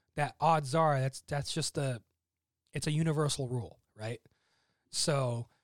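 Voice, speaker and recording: With an American accent and a fairly high pitch, a man speaks at a fairly slow pace with long, frequent pauses and fairly even intonation, recorded very cleanly against a silent background with a dry, close sound and no echo. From US (emigrated from Egypt at age seven). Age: 20s. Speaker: immigrant guest. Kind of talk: casual chat. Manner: articulate.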